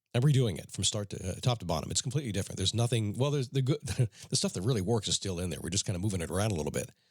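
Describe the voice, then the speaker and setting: A man speaks at a very fast pace and a fairly low pitch, somewhat breathy, with lively intonation, in a very clean recording with a silent background. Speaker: motivational podcast host. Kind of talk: motivational talk. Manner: casual, conversational.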